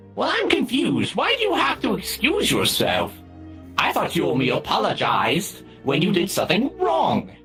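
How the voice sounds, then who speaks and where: A put-on character voice moves at a moderate pace over clear music in the background. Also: man. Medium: game stream. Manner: flowery, eccentric word choice.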